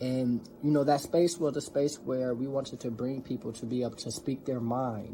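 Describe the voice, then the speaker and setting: An unremarkable speaking voice with an American accent, at a moderate pace with fairly even intonation. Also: man, medium pitch for a man. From US Midwest, North Minneapolis. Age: 20s. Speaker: seminary graduate, community organizer. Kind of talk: talk in an online community event. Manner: casual, with many fillers.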